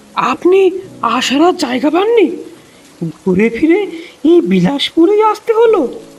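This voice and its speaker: A put-on character voice with extremely high pitch moves at a fairly slow pace. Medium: audio drama. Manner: brusque, irritated.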